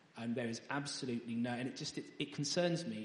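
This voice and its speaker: A man talks at a medium pitch and a moderate pace. His voice carries audible room echo. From East Anglia, England. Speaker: parliamentary candidate. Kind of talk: interview. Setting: church. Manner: halting.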